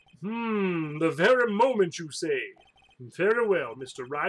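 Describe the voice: Lively intonation carries the words. It is plain reading aloud.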